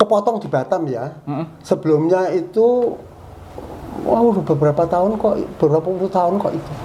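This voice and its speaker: A high-pitched man's voice at a moderate pace over noticeable background noise. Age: 80s+. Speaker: retired electrical engineering lecturer and university rector. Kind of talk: interview answer. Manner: firm.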